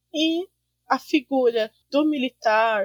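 The sound is dry and close with no echo as a woman talks at a high pitch with ordinary pitch variation. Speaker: university student. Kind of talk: casual chat.

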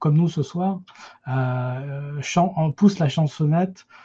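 A man speaks very slowly in a dark, mellow tone that is somewhat breathy. His pitch varies in an ordinary way, and the background is quiet. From France, Paris region. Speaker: film enthusiast, podcast initiator. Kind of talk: casual panel discussion. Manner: halting, repetitive.

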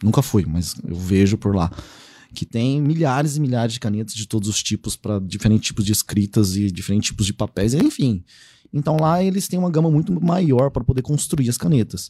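Dry and close with no echo, on a very clean recording with a silent background, a man speaks at a fairly quick pace in a dark, mellow tone with very wide pitch swings. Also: medium pitch for a man. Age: 30s. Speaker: pen spinning enthusiast and agronomist. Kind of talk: casual chat. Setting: studio.

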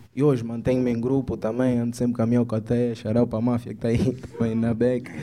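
Fairly quick and monotone, a man's medium-pitched voice has a dark, mellow tone and flat intonation. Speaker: rapper. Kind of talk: casual chat.

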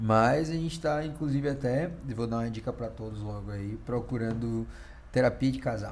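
Audible room echo accompanies a man speaking at a moderate pace. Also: medium pitch for a man, ordinary pitch variation. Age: 30s. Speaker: podcast co-host. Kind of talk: casual chat.

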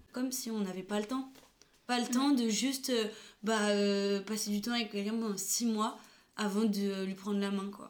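A woman's fairly high voice at a moderate pace, fairly even in intonation, with audible room echo. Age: 20s. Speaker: photographer and videographer. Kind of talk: casual chat.

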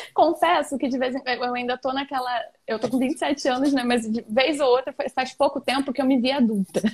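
With fairly even intonation, a woman talks at a high pitch. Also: moderate pace. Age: 20s. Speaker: digital entrepreneur and mentor. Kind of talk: casual chat.

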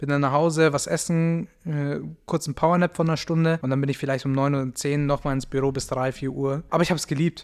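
Fairly even intonation marks this speech, delivered at a fairly quick pace. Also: man. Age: 20s. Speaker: podcast host and agency owner. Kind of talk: casual solo podcast monologue. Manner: casual, with many filler sounds.

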